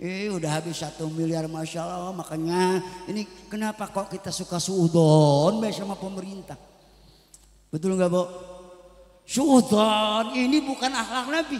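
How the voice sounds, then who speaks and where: With lively intonation and an animated tone, a man speaks at a moderate pace and a high pitch. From West Java, Karawang. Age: 60s. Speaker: preacher. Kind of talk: religious sermon.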